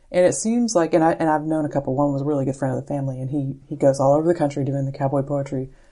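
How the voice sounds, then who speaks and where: A woman speaks with a Texan accent. Her tone is dark and mellow, with ordinary pitch variation. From Texas. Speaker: podcast host. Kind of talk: interview conversation. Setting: podcast interview.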